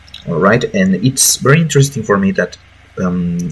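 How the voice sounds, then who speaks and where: A man with a Mexican accent speaks with very wide pitch swings. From Mexico. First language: Spanish. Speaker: gaming YouTuber, lawyer by profession. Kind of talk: casual commentary video. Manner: hesitant, many fillers. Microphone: bad audio quality.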